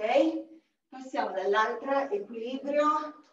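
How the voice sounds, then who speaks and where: A woman speaks with ordinary pitch variation. Light background noise and audible room echo are present. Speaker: fitness instructor. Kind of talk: workout instruction. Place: home room. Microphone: camera far.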